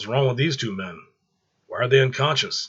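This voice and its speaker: Using a put-on character voice, a man speaks with a raspy sound at medium pitch and a moderate pace. His pitch swings very widely and his loudness shifts in big swings. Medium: read story. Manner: calm, confident, commanding.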